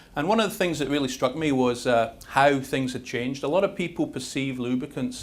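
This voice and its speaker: With audible room echo, a man in a Scottish accent speaks at a fairly quick pace. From Scotland. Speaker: industry chemist. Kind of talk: conference presentation. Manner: fast.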